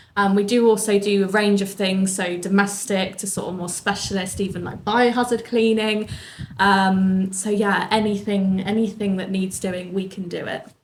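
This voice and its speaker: Over noticeable background noise and audible room echo, a woman at medium pitch speaks at a moderate pace with monotone, flat intonation. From southern England, Bournemouth. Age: 20s. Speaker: business owner. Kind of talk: interview.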